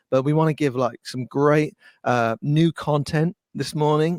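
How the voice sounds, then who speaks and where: The sound is dry and close, with no echo, as a man speaks with an English accent. He keeps a moderate pace and fairly even intonation. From England. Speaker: worship musician and webinar host. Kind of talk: webinar chat. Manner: hesitant, many fillers.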